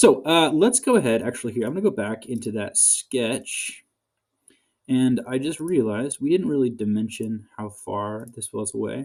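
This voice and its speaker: His intonation lively and his loudness swinging widely, a man speaks at a moderate pace and a medium pitch. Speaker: graduate research assistant. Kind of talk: tutorial. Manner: hesitant, many fillers.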